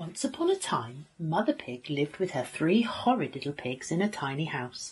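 Her voice very deep and low, a woman speaks at a moderate pace in an animated, warm tone, somewhat breathy, with very wide pitch swings. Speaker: teacher reading a story to children. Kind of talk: bedtime story reading aloud. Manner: animated, using distinct character voices; warm, expressive, child-friendly storyteller. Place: home room. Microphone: phone near.

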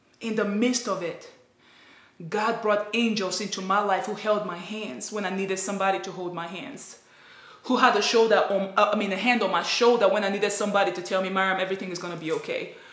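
In a room with audible echo, a woman talks very fast in an animated tone, her loudness swinging widely. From Nigeria. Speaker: vlogger. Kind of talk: personal vlog testimony. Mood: emotional, grateful. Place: home room. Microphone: phone near.

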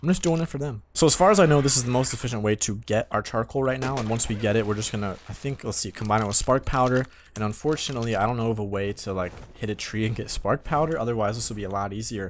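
A man at a medium pitch and fast pace with ordinary pitch variation

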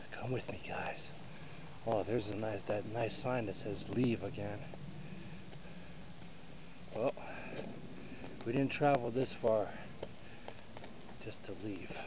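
Against noticeable background noise, a man speaks at a fairly slow pace with long, frequent pauses and fairly even intonation, the sound dry with no echo. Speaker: explorer vlogger. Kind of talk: casual vlog chat. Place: forest. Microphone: phone near.

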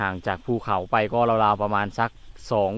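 Fairly even intonation in a man's fairly low-pitched speech. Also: dry sound with no echo. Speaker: rural vlogger. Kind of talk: casual vlog chat. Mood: relaxed, admiring. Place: open country. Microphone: phone near.

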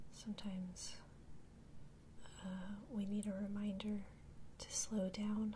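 Soft-spoken and whispering, the speaker goes at a very slow pace with long, frequent pauses over light background noise. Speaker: ASMR creator. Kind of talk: ASMR mindfulness talk-down. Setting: train passing in background. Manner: soft-spoken, whispered, slow. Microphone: studio mic.

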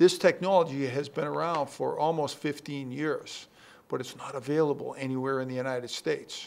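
A man speaks at a fairly slow pace and a fairly high pitch. His intonation stays fairly even. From Boston area, Massachusetts. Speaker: political candidate; candidate. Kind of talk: TV interview. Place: shop. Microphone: handheld.

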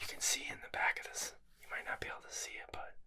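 A man whispers at a very fast pace. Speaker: ASMR creator. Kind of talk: ASMR whisper show and tell, casual talk to camera. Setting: indoors in a library. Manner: whispered, soft, intimate. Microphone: studio mic.

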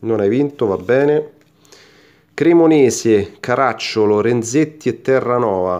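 A man talks at a very slow pace with ordinary pitch variation over a quiet background. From Italy. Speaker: YouTuber opening sticker packs. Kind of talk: casual unboxing commentary to camera. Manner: animated. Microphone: phone near.

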